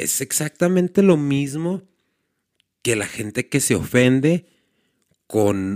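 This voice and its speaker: A man with a Mexican accent talks at a very slow pace with lively intonation, the sound dry and close with no echo. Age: 40s. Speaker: podcast host. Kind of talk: casual commentary monologue. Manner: halting, frequent repetitions and fillers.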